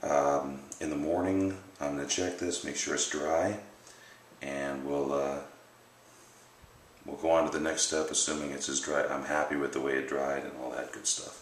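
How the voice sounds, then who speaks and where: Audible room echo and noticeable background noise surround this man. His very deep, low voice keeps a fairly even intonation. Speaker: bowyer. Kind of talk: tutorial. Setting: home workshop at night. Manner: soft-spoken.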